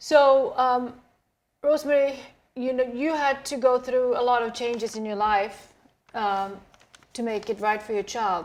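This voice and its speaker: A woman with a Swedish accent speaks high and at a fairly slow pace, leaving long, frequent pauses. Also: ordinary pitch variation. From Sweden. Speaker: talk show host. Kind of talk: interview.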